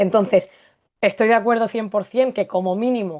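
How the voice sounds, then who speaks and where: A woman with a peninsular Spanish accent talks at a moderate pace with ordinary pitch variation against a quiet background. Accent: peninsular Spanish with distinción. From Spain (Barcelona, Castilian roots). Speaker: Spanish language teacher. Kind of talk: live discussion.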